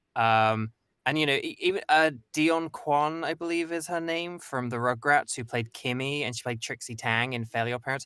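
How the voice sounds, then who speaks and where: Here a man with an English accent speaks at a moderate pace, his tone bright and sharp and his pitch fairly high with ordinary variation. The very clean recording has a silent background and a dry, close sound with no echo. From England. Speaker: voice actor. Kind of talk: casual chat.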